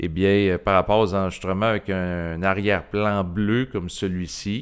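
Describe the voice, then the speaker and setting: A fairly low-pitched man in a Quebec accent, at a moderate pace with fairly even intonation, on a very clean recording with a silent background. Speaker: YouTuber. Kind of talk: solo video monologue, improvised. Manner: hesitant, many filler sounds.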